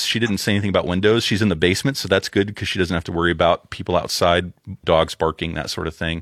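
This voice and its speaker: Recorded very clean with a silent background and a dry, close sound with no echo, a man with a very deep, low pitch talks at a very fast pace with hardly any pauses and ordinary pitch variation. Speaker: audio engineer. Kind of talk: casual chat.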